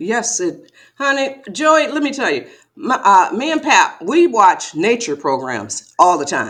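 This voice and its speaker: A woman with an American accent talks fairly slowly at a fairly high pitch, with vocal fry and very wide pitch swings. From Detroit, Michigan. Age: 70s. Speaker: author. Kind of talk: interview. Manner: animated.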